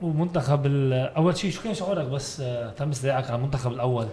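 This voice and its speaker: A man's plain, everyday voice, fairly high, at a fairly quick pace with ordinary pitch variation, over light background noise. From Lebanon. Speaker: sports podcast host; podcast host. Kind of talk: casual interview. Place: studio. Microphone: studio mic.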